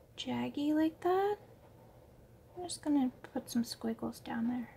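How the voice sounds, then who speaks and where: A soft-spoken woman with a high voice, at a fairly slow pace. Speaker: artist and art tutor. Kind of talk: art tutorial instruction. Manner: mellow, soft-spoken.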